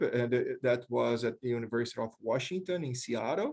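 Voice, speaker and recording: A man with a Brazilian accent and ordinary pitch variation. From Brazil, small town. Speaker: professor, leadership researcher. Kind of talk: panel discussion. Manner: halting, with repetitions.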